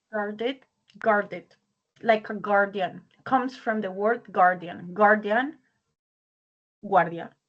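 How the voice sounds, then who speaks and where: A woman with a Spanish accent talks very slowly, taking long, frequent pauses. Her medium pitch shows ordinary variation. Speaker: English teacher. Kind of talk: online language class.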